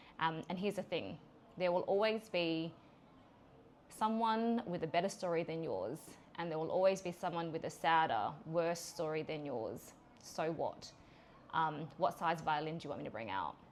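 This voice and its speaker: A woman with an Australian accent and a fairly low pitch speaks with long, frequent pauses. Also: lively intonation, moderate pace. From Australia (Adelaide). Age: 40s. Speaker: podcast host and business owner. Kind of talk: personal monologue podcast. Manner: frequent fillers (um); direct.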